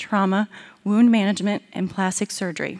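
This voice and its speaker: A woman's plain, everyday voice, medium in pitch, with fairly even intonation at a moderate pace. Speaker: conference moderator introducing speaker. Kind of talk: formal introduction.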